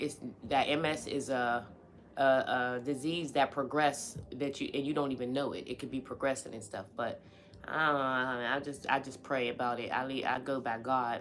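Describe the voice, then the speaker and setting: This woman has an American accent and a very deep, low pitch. Her intonation is fairly even, and her pace is moderate. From Pittsburgh, US. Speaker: live streamer. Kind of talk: casual chat. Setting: live stream at home. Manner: casual, conversational.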